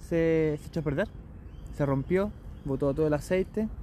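A man with a Chilean accent and ordinary pitch variation. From Chile, Concepción. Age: 30s. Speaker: barista and traveller. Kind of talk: casual interview.

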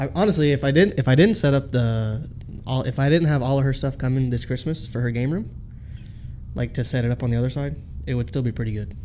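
A man speaks at a very fast pace, medium in pitch with ordinary pitch variation, amid noticeable background noise. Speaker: new co-host. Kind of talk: casual banter podcast. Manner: joking, laid-back.

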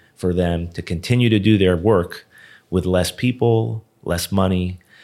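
A man with an American accent speaks in a very deep, low pitch, with a dark, mellow tone and fairly even intonation. The recording is very clean, with a silent background. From South Florida, Hollywood. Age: 50s. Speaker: tech company co-founder. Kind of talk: interview.

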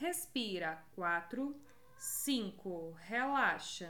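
A woman's animated tone with very wide pitch swings and audible room echo. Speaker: podcast host, pelvic health educator. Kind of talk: guided exercise counting; casual educational talk with guided exercises.

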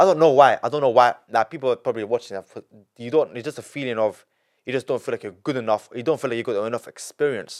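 Animated and very fast, a man with a London accent, medium pitch and ordinary pitch variation makes big swings in loudness, in a dry, close sound with no echo on a very clean recording with a silent background. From England. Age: 20s. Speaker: young entrepreneur. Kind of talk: casual interview.

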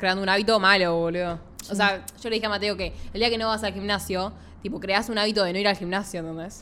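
In a Rioplatense accent, a woman talks at a very fast pace and medium pitch, her tone bright and sharp, her intonation monotone and flat. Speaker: podcast co-host. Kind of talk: casual chat.

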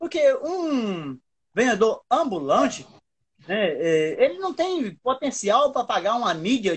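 A man's extremely high-pitched voice with very wide pitch swings. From Brazil, another state than Ceará. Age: 40s. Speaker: street vendor and small business owner. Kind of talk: interview on an Instagram live. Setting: Instagram live video call.

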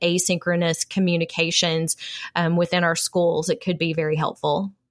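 A woman with a plain, everyday voice speaks at a fairly low pitch and a moderate pace. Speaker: podcast co-host. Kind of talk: casual chat.

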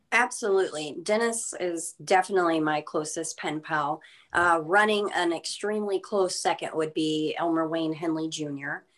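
A woman with a normal speaking voice talks at a fairly slow pace and a fairly low pitch. Her intonation is fairly even, and the background is quiet. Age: 30s. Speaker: true crime pen pal, former security officer. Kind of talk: podcast interview.

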